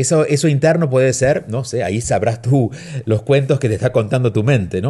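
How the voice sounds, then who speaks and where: A man speaks at a medium pitch with a dark, mellow tone and a somewhat breathy quality. His intonation is lively, and the background is quiet. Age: 40s. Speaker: radio host and self-help author. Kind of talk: advice radio show. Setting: home studio.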